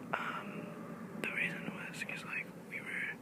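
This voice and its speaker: Whispering at a fairly slow pace, the voice has a relaxed tone. Noticeable background noise is present. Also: man. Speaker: ASMR YouTuber. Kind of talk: casual talk to camera. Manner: whispered, relaxed storytelling.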